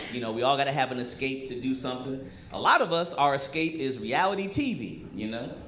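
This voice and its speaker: Against noticeable background noise, the talking runs fairly quickly, its pitch shifting in a normal way. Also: man. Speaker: stand-up comedian. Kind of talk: live stand-up comedy special. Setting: live comedy club with audience. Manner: casual, sarcastic, punchy.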